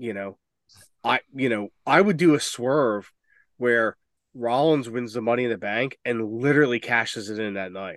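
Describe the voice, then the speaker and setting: In a quiet background, a man with a normal speaking voice talks at a moderate pace and medium pitch. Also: ordinary pitch variation. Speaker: wrestling podcast co-host. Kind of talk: casual chat.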